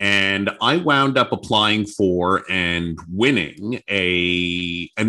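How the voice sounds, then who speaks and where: A man with a Canadian accent, a fairly low pitch, ordinary pitch variation and a bright, sharp tone, against a quiet background. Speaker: former radio news reporter and anchor. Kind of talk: interview conversation.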